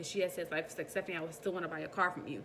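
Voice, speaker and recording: A woman speaks at a fairly low pitch with fairly even intonation. Noticeable background noise sits behind her. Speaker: vlogger. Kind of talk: casual monologue. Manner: fast.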